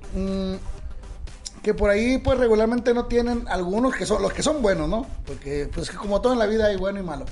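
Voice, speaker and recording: Over noticeable background noise, a man with a high pitch and ordinary pitch variation talks at a very fast pace. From Sonora, Mexico. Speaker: regional Mexican singer. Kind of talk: casual interview chat.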